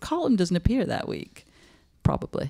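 Against a quiet background, a woman speaks with a dark, mellow tone. Her pitch swings very widely. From northern England, Manchester area; northern England. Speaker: podcast producer and editor; podcast producer. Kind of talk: panel conversation. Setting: stage with audience. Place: home room. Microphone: studio mic.

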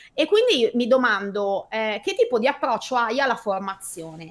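A fairly high-pitched woman's voice at a fairly quick pace. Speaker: host of online meeting for condominium administrators. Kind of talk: casual chat, live stream. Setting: online video stream. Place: home room.

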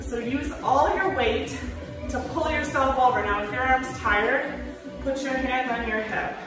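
A woman's high, fairly evenly intoned voice at a fairly slow pace, with strong room echo and clear music in the background. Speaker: fitness instructor. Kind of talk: workout instruction. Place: gym. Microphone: camera far.

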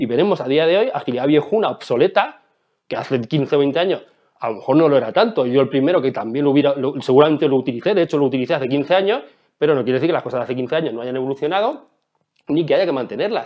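A man's fairly high voice at a very fast pace, with ordinary pitch variation, over a quiet background. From Spain, Ciudad Real; Spain. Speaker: agile consultant and conference speaker; conference speaker. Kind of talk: conference talk. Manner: animated. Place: home room.

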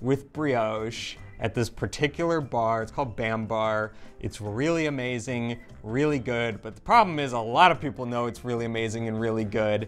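Over faint background music, a man talks at a moderate pace with ordinary pitch variation and big swings in loudness. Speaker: travel food vlogger. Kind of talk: casual vlog chat. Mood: amused, storytelling. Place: cafe.

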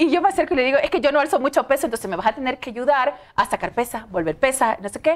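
A woman with a high pitch, a very fast pace, lively intonation and hardly any pauses. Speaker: TV news presenter. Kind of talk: interview. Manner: talkative. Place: studio. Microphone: lapel.

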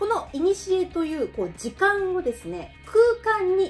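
Faint music plays in the background as a woman speaks in an upbeat tone with very wide pitch swings. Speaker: Okinawan language teacher. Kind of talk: educational talk to camera. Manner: upbeat, friendly.

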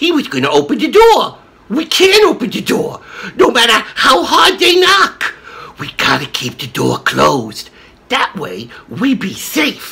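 At a fairly slow pace, a put-on character voice speaks at a fairly high pitch. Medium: comedy sketch. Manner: gruff, tough-guy.

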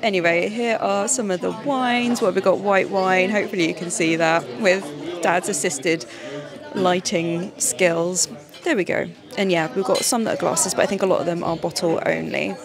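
Crowd noise fills the background as a woman talks at a moderate pace with ordinary pitch variation, her voice dry with no echo. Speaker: vlogger. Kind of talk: casual vlog chat. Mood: cheerful, playful. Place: bar. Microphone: handheld.

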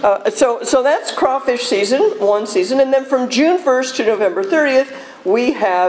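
With light noise in the background, a woman speaks at a moderate pace in a high pitch. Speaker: speaker. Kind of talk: public talk to audience. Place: hall.

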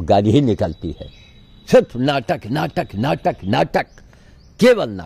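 Very slow and full of vocal fry, a man's dark, mellow voice moves through very wide pitch swings and big swings in loudness, with a dry sound with no echo. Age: 80s+. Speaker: sadhu activist. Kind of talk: monologue vlog. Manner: animated. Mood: frustrated, complaining. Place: garden. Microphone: phone near.

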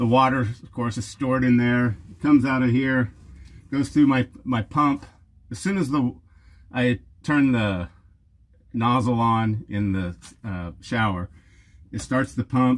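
A man at a fairly slow pace with long, frequent pauses. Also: ordinary pitch variation. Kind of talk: tutorial. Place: street.

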